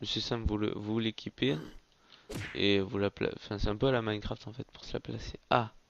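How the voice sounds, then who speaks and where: This man talks at a moderate pace with a fairly low pitch. The sound is dry and close, with no echo. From France. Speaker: gaming YouTuber. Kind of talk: gameplay commentary. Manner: casual, hesitant with fillers.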